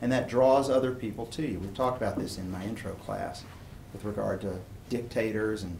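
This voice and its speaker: A man talks at a medium pitch with ordinary pitch variation. The room gives audible echo. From East Tennessee (Chattanooga). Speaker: philosophy professor. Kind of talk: lecture. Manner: casual, conversational.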